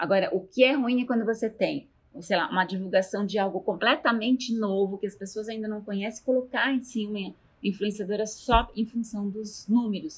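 Somewhat breathy and fairly high in pitch, a woman talks at a moderate pace with fairly even intonation. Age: 50s. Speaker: university professor. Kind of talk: interview.

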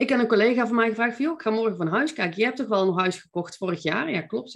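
A woman speaks with lively intonation. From North Brabant, Netherlands (Veldhoven). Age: 40s. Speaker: mindset coach and entrepreneur. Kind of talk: podcast interview.

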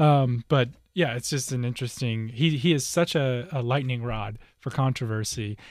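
The recording is very clean, with a silent background. A man with a plain, everyday voice speaks at a medium pitch and moderate pace, with ordinary pitch variation. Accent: American. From US. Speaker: co-host. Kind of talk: casual chat.

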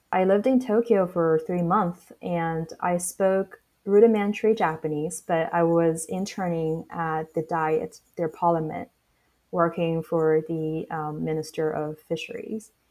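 A woman with a Chinese accent and a fairly low pitch speaks in a dark, mellow tone at a fairly slow pace with ordinary pitch variation. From Shanghai, China. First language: Mandarin Chinese. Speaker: startup founder. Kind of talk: interview.

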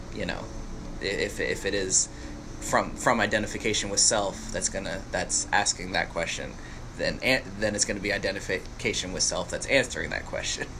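The man keeps to a moderate pace. Behind his voice there is noticeable background noise. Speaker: podcast host. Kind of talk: casual conversational interview. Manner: relaxed, conversational.

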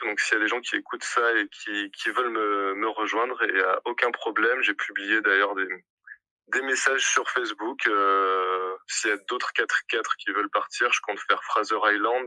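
Dry, close sound with no echo, at a moderate pace. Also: man. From southern France, Montpellier. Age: 20s. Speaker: hospitality manager, working holiday traveller. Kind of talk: casual interview testimony. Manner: hesitant, many fillers.

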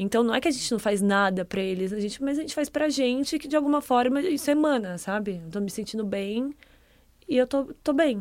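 A woman's plain, everyday voice, fairly high in pitch, with lively intonation at a fairly quick pace. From Brazil, Ribeirão Preto (São Paulo state interior). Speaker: content producer. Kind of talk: casual chat.

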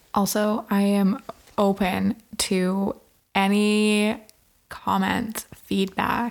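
Speech comes very slowly in a monotone, flat intonation. Long, frequent pauses break it up. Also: woman, medium pitch for a woman. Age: 20s. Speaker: podcast host. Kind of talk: casual chat. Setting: home recording under a blanket.

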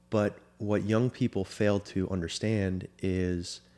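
On a very clean recording with a silent background, a man speaks with an American accent. His pitch is fairly low and his intonation fairly even. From Florida. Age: 30s. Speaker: former soccer goalkeeper and sports agent. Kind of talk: casual interview.

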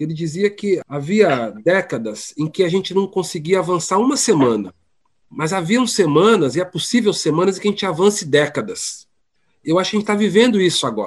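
A man talks at a fairly quick pace with a high pitch. His intonation is lively. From São Paulo, east zone. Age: 40s. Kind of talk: interview.

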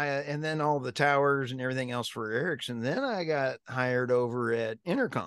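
A man with an American accent, fairly high pitch and moderate pace against a quiet background. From US, military family; high school in upstate New York. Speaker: energy company CEO and podcast host. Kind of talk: casual interview chat. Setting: video call. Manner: animated.

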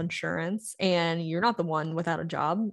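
A woman with a normal speaking voice in an American accent, fairly low in pitch, with ordinary pitch variation at a moderate pace against a quiet background. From US South. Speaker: financial influencer and marketing agency owner. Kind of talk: casual interview chat.

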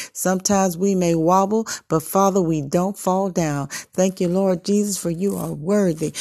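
A woman speaks at a medium pitch with a dark, mellow tone, a passionate delivery and fairly even intonation. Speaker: prayer leader. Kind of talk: fervent spoken prayer, repetitive intercession with rising cadence. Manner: passionate, rhythmic repetition of 'Lord God' like a preacher's cadence; exclamatory, interjecting hallelujahs and breathless run-on petitions.

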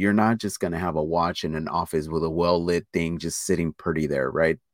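The recording is very clean, with a silent background and a dry, close sound with no echo, carrying a man's very deep, low voice. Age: 30s. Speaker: watch YouTuber and podcaster, salesman. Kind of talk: casual chat.

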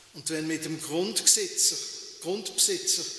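A man's high-pitched voice against noticeable background noise. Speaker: pastor. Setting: church. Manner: unhurried, warm, reflective with pauses, ending in encouragement.

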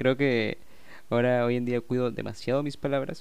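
A man with an unremarkable speaking voice talks at a fairly quick pace and medium pitch. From Peru. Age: 20s. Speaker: podcast host, self-taught game designer. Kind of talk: casual chat.

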